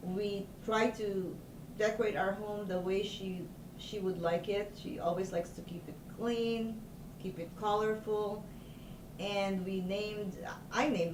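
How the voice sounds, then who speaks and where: Noticeable background noise and audible room echo surround a woman speaking at a medium pitch. She keeps a fairly slow pace and fairly even intonation. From Philippines. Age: 60s. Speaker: doctor. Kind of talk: oral history interview. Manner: halting.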